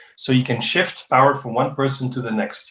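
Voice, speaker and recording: His voice has a somewhat breathy quality. This man's pitch is medium. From Netherlands, with Spanish father. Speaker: diplomat and refugee-agency advisor. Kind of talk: interview. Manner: halting, many repeated words and fillers.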